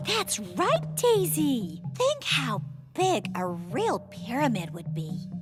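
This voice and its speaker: A female-sounding cartoonish character voice at a medium pitch and a very slow pace, over clear music in the background. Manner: precise, teacherly.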